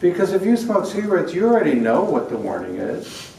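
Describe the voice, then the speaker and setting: A man with an American accent at a fairly quick pace, lively in intonation, amid noticeable background noise and audible room echo. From New York. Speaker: prevention expert speaker. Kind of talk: conference lecture. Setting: conference hall with audience.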